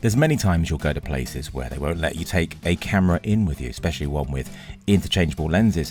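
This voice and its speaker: A man's very deep, low voice in a strong English accent at a very fast pace. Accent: thick English. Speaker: filmmaker and camera reviewer. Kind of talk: tech review narration.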